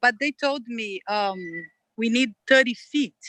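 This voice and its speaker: In a non-native accent, a woman with a fairly high pitch and a bright, sharp tone speaks at a very slow pace with lively intonation, in a dry, close recording with no echo. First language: not English. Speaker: applicant at a zoning hearing. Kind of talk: public hearing testimony. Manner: halting.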